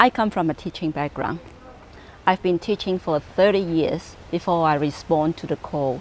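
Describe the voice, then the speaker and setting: Moderate pace with ordinary pitch variation. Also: woman, fairly low pitch for a woman. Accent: Cantonese. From Hong Kong. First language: Cantonese. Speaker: pastor. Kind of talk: personal testimony.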